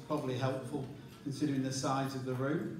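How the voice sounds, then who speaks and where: A man at a very fast pace and fairly high pitch, with audible room echo and noticeable background noise. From England. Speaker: leadership coach and presenter. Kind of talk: conference presentation. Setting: conference stage with large audience, microphone.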